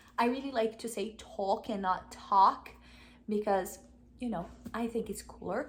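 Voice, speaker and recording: In a Brazilian accent, a woman talks at a fairly slow pace with long, frequent pauses, her voice fairly high, somewhat breathy and ordinary in pitch variation. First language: Portuguese. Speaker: vlogger. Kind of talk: casual chat. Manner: halting.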